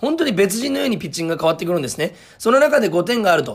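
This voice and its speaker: A man with an energetic tone, a very fast pace and very wide pitch swings. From Fukuoka, Japan. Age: 20s. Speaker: comedian and radio host. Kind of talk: sports radio recap. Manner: frequent filler hesitations.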